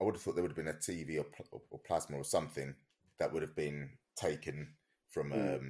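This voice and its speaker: A man talks at a fairly quick pace with a very deep, low pitch and ordinary pitch variation. His tone is dark and mellow, with vocal fry. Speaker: co-host. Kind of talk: casual chat. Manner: halting.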